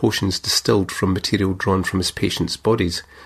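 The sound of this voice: The reading voice here is unforced.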